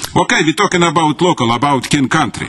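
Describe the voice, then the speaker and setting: Background noise is noticeable throughout. Over it, a man talks with normal rises and falls in pitch. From former Soviet Union. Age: 60s. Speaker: activist speaking at public comment. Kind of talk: public comment speech. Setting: county council meeting. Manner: animated.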